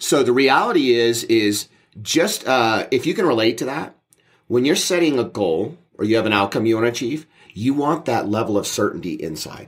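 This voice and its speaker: At a moderate pace, a man uses a normal speaking voice at a medium pitch. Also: lively intonation. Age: 40s. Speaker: mindset coach and podcast co-host. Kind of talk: casual chat. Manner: repetitive, with many fillers and restarts.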